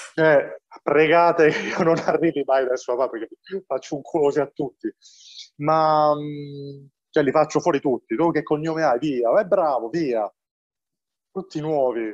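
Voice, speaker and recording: A man at a fairly high pitch, moderate pace, long, frequent pauses, ordinary pitch variation, dry and close sound with no echo. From Apulia, southern Italy (Valenzano near Bari). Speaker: film director. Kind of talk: interview. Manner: animated.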